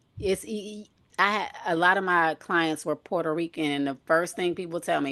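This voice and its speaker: A woman with a fairly low pitch and ordinary pitch variation speaks in a normal speaking voice with an American accent. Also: quiet background. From Michigan, US Midwest. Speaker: nurse and health coach. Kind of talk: casual chat. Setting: live stream.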